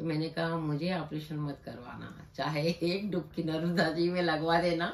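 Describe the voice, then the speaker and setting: Flat, monotone intonation in a woman's fairly low-pitched voice. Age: 60s. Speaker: patient. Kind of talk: testimony.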